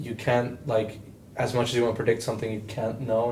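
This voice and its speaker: A man at medium pitch and a fairly quick pace, monotone and flat in intonation, with audible room echo. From Portugal. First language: Portuguese. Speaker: futsal club member. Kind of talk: casual podcast chat.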